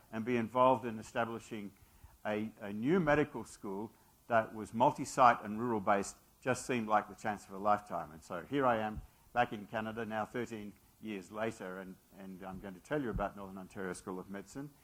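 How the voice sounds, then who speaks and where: With an Australian accent, a man talks at a fairly quick pace. His voice is fairly low, with ordinary pitch variation and big swings in loudness. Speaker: physician and medical school leader. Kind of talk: lecture. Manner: halting, many fillers.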